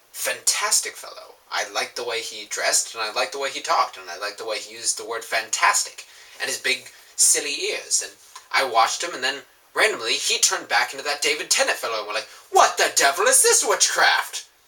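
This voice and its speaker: Over noticeable background noise, a man talks at a fairly quick pace with big swings in loudness. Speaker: fandom vlogger. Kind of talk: casual vlog monologue. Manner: animated.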